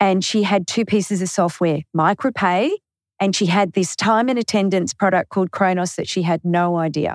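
With an Australian accent, a woman speaks at medium pitch with very even loudness and fairly even intonation on a very clean recording with a silent background. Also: moderate pace, dry, close sound with no echo. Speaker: bookkeeper. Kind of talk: interview.

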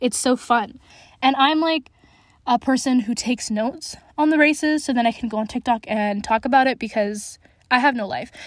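With a Western Canadian accent, a woman speaks in an animated tone at a high pitch and moderate pace, with ordinary pitch variation. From Canada, Alberta (city-raised). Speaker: podcast host, motorsport fan. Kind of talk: solo casual chat.

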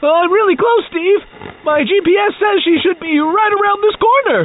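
An extremely high-pitched voice comes through with clear background noise. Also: moderate pace. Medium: audio drama. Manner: whiny, naive, cheerful.

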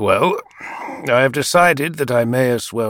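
The clip is in a natural reading voice.

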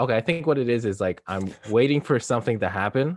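Against a quiet background, a man with a plain, everyday voice and fairly low pitch talks at a fairly quick pace with lively intonation, in a dry, close sound with no echo. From Canada. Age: 20s. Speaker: podcast host. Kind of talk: casual chat.

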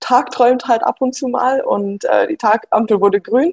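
Recorded dry and close with no echo, this is a woman speaking. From Bavaria (Munich). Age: 20s. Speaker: former pro triathlete and mathematician. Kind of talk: interview. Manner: hesitant, many fillers.

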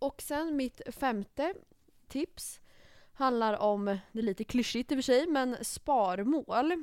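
At a very slow pace, a woman with a high pitch speaks with lively intonation in a dry, close sound with no echo. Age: 20s. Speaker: podcast co-host. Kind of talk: casual chat.

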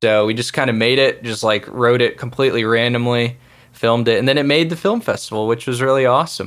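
A man with an American accent talks at a very fast pace in a medium pitch, his intonation fairly even. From small-town Texas. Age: 20s. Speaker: musician. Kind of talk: interview. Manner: casual, hesitant with fillers.

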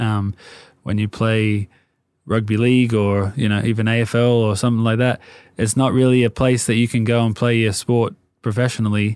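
A man with an Australian accent speaks at a medium pitch and a fairly quick pace, his loudness very even. His intonation is monotone and flat, and the recording is very clean with a silent background. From Sydney, Australia. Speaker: hat and clothing brand founder. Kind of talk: casual interview chat.

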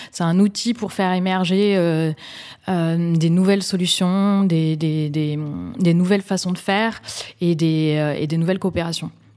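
Speaking very slowly, a woman uses a fairly low pitch and a dark, mellow tone with fairly even intonation. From Bordeaux, France. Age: 30s. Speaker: social entrepreneur. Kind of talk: interview. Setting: office.

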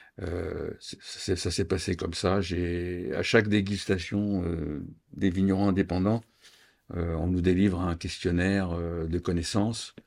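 A man speaks very slowly in a very deep, low voice with flat, monotone intonation. The recording is very clean, with a silent background. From France, Champagne (Reims). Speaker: wine tasting host, retiree. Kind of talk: interview. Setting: at home. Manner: halting.

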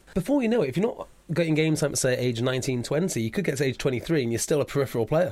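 Very fast and very even in loudness, a man's fairly high voice moves with lively intonation. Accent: Welsh. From Wales. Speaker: rugby podcast host. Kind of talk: casual interview. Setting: studio.

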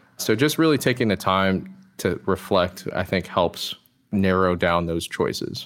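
Very deep and low in pitch, a man's voice moves with lively intonation in a very clean recording with a silent background. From US, Maryland (DC metro area). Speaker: Marine Corps veteran, customer success manager. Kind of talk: interview. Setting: podcast.

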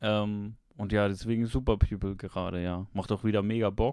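Monotone and flat, a man's fairly low voice moves at a moderate pace. The recording is very clean, with a silent background. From Switzerland. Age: 20s. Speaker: streamer and chat regular. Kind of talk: casual chat.

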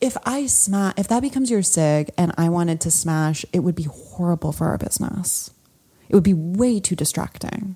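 A woman with a fairly low pitch and a dark, mellow, somewhat breathy tone talks at a moderate pace with lively intonation. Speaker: podcast co-host. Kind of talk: casual chat.

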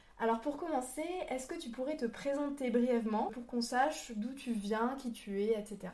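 This woman's voice is high-pitched, with a dark, mellow tone. She keeps a moderate pace and ordinary pitch variation. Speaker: podcast host. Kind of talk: interview.

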